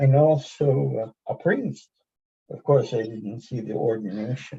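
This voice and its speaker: Speaking at a fairly slow pace, a man uses a medium pitch and lively intonation, his voice somewhat breathy. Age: 70s. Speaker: lay Zen practitioner and poet. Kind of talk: personal testimony in group video chat.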